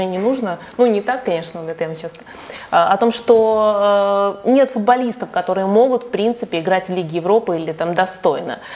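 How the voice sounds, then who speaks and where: At a moderate pace, a woman talks in a plain, everyday voice with a medium pitch and ordinary pitch variation. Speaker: sports journalist. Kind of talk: interview. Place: studio. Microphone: lapel.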